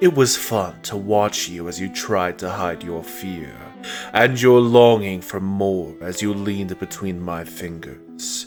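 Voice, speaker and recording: Over clear background music, a man puts on a character voice, fairly low in pitch and at a fairly slow pace. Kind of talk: dramatic monologue narration. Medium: dub.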